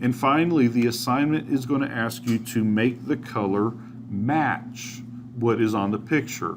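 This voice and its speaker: A man with a plain, everyday voice talks at a medium pitch. His pace is fairly slow and his intonation fairly even. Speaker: teacher. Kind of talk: tutorial.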